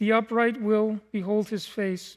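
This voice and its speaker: A man speaks with monotone, flat intonation. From Mennonite communities in Mexico and Canada, raised mainly in west Texas. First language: Low German. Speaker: guest preacher and Bible school teacher. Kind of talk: sermon.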